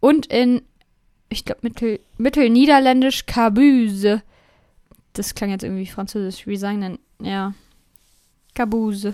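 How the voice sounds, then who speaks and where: A woman speaks at a fairly high pitch in a dark, mellow tone, slowish and with long, frequent pauses. Her pitch varies in an ordinary way, and the recording is very clean with a silent background. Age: 20s. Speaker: podcast co-host. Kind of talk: casual chat. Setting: home studio with headphones.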